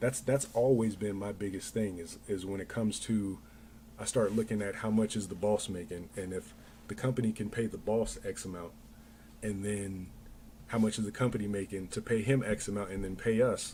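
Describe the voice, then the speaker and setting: This man speaks with an American accent in a dark, mellow, somewhat breathy voice, keeping his intonation fairly even. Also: fairly low pitch for a man, moderate pace. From Denver, Colorado. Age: 40s. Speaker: livestreamer and small business owner. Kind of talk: casual chat. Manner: halting.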